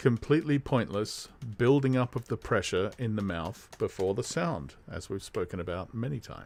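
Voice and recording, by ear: The text is read aloud in a natural voice, its intonation lively.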